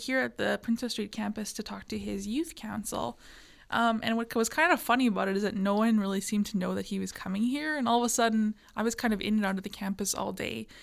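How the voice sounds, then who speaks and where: A woman with a Canadian accent and a bright, sharp tone is heard in a very clean recording with a silent background. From rural Manitoba, Canada. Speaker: student podcast co-host. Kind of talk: casual chat. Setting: studio.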